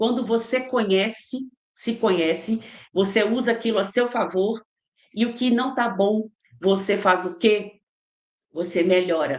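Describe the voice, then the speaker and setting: With fairly high pitch and ordinary pitch variation, a woman speaks at a fairly slow pace. She leaves long, frequent pauses. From Minas Gerais, Brazil (Ipatinga). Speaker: leadership trainer and mentor. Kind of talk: interview. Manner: animated.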